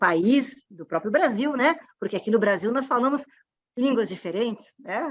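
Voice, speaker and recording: The speaker is a woman with a Rio Grande do Sul accent. She talks at a high pitch with lively intonation. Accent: gaúcho. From southern Brazil (Rio Grande do Sul). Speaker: panel moderator. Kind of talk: online panel moderation. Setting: online event.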